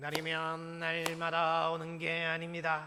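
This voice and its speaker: In a put-on character voice, a man speaks fairly slowly in a high, nasal, monotone delivery with flat intonation. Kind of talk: sales pitch.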